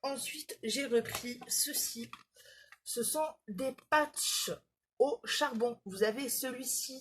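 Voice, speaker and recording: A woman at a very slow pace, with fairly even intonation and long, frequent pauses. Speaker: beauty vlogger. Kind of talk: product haul video. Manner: hesitant, many fillers.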